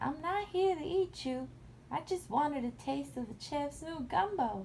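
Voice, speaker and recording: A woman's put-on character voice, high in pitch, at a moderate pace over clear background noise. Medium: read story. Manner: gentle, reassuring.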